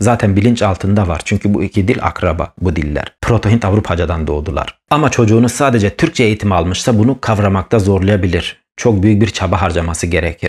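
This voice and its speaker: This man talks at a fairly quick pace with hardly any pauses, his fairly low voice somewhat breathy, with ordinary pitch variation and a Kurdish accent. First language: Kurdish (speaking Turkish). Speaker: YouTuber on Kurdish language and history. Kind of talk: educational monologue. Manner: animated.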